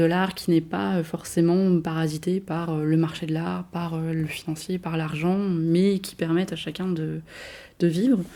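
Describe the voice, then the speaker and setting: Her pitch is fairly low and her tone dark and mellow, with fairly even intonation. The woman keeps a moderate pace while her loudness swings widely. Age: 20s. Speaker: arts consultant. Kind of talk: casual interview. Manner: hesitant, many fillers.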